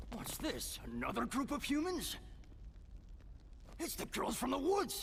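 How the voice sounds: A man's cartoonish character voice over clear background noise. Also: moderate pace.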